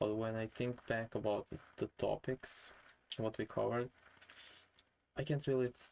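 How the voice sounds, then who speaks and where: A man with a non-native accent speaks in a monotone, flat intonation with a dark, mellow tone. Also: dry, close sound with no echo. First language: not English. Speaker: vlogger. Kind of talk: casual vlog monologue. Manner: halting.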